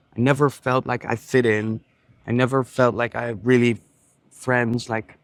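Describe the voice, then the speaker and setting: The sound is dry and close, with no echo. A man with a Dutch accent talks at medium pitch in a monotone, flat intonation. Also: moderate pace. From Netherlands. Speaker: entrepreneur vlogger. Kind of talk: casual vlog monologue. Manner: casual, with frequent fillers.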